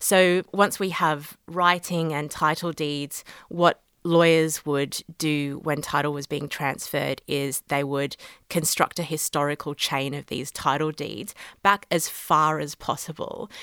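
In an Australian accent, a woman with a very deep, low pitch speaks at a fairly slow pace with fairly even intonation, on a very clean recording with a silent background and a dry, close sound with no echo. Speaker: law lecturer. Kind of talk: interview.

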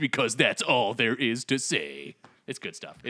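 In a put-on character voice, a man speaks at a moderate pace and medium pitch, with very wide pitch swings and big swings in loudness. The sound is dry and close with no echo. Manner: smooth, commercial.

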